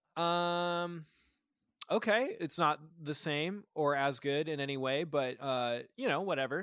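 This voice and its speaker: An unremarkable speaking voice, a man with an American accent talks at a fairly slow pace and fairly high pitch with ordinary pitch variation, on a very clean recording with a silent background. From Nebraska. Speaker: recording engineer. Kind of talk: casual chat.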